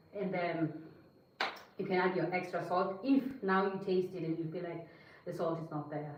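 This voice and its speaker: A woman talks at a fairly quick pace in a medium pitch. There is audible room echo and noticeable background noise. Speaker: cooking livestreamer. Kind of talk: cooking livestream tutorial. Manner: chatty, casual.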